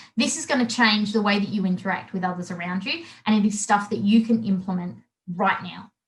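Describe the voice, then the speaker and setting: At a fairly quick pace, a woman with an Australian accent speaks in a somewhat breathy voice. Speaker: body language trainer. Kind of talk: webinar presentation. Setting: live webinar. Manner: halting.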